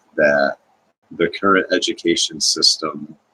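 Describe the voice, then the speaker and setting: Soft-spoken, a man talks at a fairly slow pace. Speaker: video blogger. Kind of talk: casual monologue. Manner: halting.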